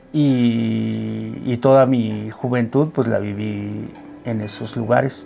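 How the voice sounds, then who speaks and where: The delivery is extremely unhurried, with music running underneath. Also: man. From central Mexico, State of Mexico. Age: 60s. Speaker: medicine man and drum maker. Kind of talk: interview conversation. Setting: studio interview in Mexico City. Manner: halting, with fillers and repetitions.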